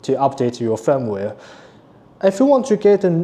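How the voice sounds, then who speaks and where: A non-native accent shapes the speech. It moves at a moderate pace. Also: man. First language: not English. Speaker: company product presenter. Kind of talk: product tutorial. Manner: halting; casual.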